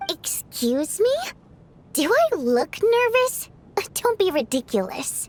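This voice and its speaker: Putting on a character voice, a woman speaks at an extremely high pitch with very wide pitch swings, at a fairly slow pace with long, frequent pauses. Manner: haughty, defensive.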